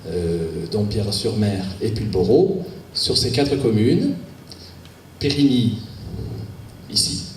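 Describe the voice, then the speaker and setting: A man with a southwestern French accent talks at a very slow pace with lively intonation, amid audible room echo and noticeable background noise. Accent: southwest French. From southwest France, Agen. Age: 50s. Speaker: local election candidate, business owner. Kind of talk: campaign speech. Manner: hesitant, many fillers.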